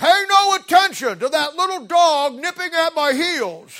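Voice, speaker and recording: A put-on character voice delivers the lines at a moderate pace. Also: man, extremely high pitch for a man. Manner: commanding, dismissive.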